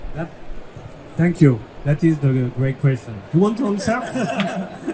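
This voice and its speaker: A man with a French accent speaks at a very slow pace in a high pitch with very wide pitch swings. Noticeable background noise runs behind him. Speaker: software company executive. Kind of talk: live panel interview. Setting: stage with audience.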